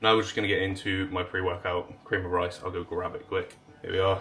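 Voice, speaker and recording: A man with a fairly low pitch and an English accent at a very fast pace, amid noticeable background noise. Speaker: bodybuilder vlogger. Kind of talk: vlog talk to camera.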